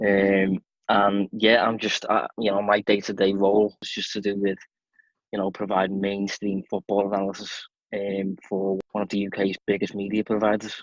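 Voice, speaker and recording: With a strong Liverpool accent, a man speaks at a moderate pace in a fairly low, flat monotone. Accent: strong Scouse. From Liverpool, England. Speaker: football analyst. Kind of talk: casual chat.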